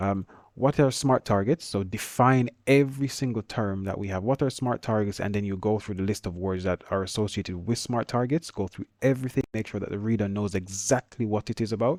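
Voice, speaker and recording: A man with a Jamaican accent and fairly low pitch, talking at a fairly quick pace with hardly any pauses, in a dry, close sound with no echo on a very clean recording with a silent background. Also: ordinary pitch variation. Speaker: engineering teacher. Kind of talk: tutorial. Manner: fast; casual.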